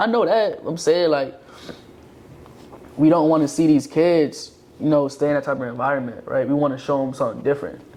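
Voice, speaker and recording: A man with a fairly high voice speaks at a fairly quick pace, his pitch varying in an ordinary way. He leaves long, frequent pauses, and background noise is noticeable. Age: 20s. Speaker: podcast co-host. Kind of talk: casual chat.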